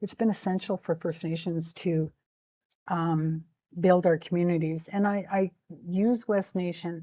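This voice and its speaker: With a Canadian accent and a normal speaking voice, a woman speaks at a fairly slow pace, her pitch fairly low and her intonation fairly even. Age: 60s. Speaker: First Nations educator. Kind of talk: informal lecture. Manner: conversational, with frequent fillers.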